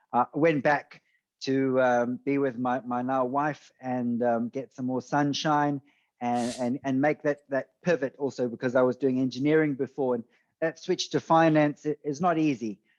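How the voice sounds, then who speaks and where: A man with a South African accent speaks at a moderate pace and medium pitch with fairly even intonation, the background quiet and the sound dry and close with no echo. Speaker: venture capitalist. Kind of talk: podcast interview.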